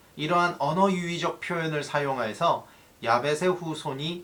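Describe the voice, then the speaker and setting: Noticeable background noise can be heard. A man talks at a fairly slow pace. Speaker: pastor. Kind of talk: sermon. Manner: halting, self-correcting.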